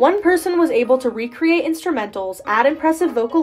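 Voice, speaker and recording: Very wide pitch swings over music in the background. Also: woman. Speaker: music review video creator. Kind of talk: video essay narration.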